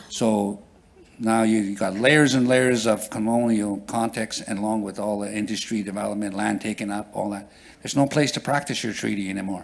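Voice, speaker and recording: A man talks at a fairly quick pace. His voice sits fairly low with a fairly even intonation. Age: 60s. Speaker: First Nation councillor. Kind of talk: conference panel talk. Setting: conference hall with audience. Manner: halting, with many fillers and repeats.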